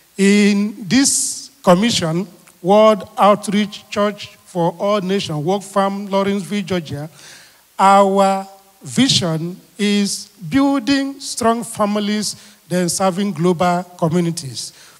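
Against a quiet background, a man with a high pitch talks at a very slow pace. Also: ordinary pitch variation. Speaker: pastor leading prayer. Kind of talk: fervent prayer and sermon-style thanksgiving, with repeated call-and-response cues. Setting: live church prayer meeting streamed online. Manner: earnest, rhythmic, repeating phrases for emphasis. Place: church. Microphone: handheld.

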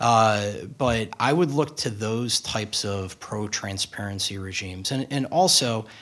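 With a normal speaking voice, a man talks at a fairly low pitch with ordinary pitch variation. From US Midwest, Chicago. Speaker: lawyer, former congressional staffer; lawyer. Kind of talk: panel discussion. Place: hall. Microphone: podium.

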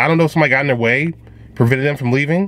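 This is a man speaking. The sound is dry, with no echo. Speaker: vlogger. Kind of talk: commentary. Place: car. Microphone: phone near.

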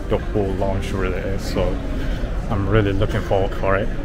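A man talks while loud music fills the background. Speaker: travel vlogger. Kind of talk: casual vlog chat. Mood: excited, anticipating. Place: hall. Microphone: phone near.

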